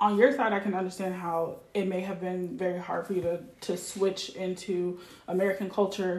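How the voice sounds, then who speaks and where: Over noticeable background noise, a woman speaks at medium pitch and a moderate pace in a monotone, flat intonation. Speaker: podcast guest. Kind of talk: casual chat.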